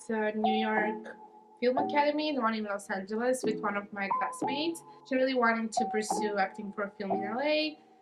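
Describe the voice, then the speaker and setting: Music plays in the background while a woman talks in a Romanian accent. Her pitch is fairly high and her intonation lively. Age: 20s. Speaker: university student. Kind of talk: interview. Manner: casual, lots of fillers.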